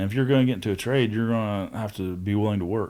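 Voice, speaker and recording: A man with an American accent at a very fast pace, ordinary pitch variation, on a very clean recording with a silent background. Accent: hillbilly. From Southeast Ohio. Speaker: tradesman in addiction recovery. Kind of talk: casual chat.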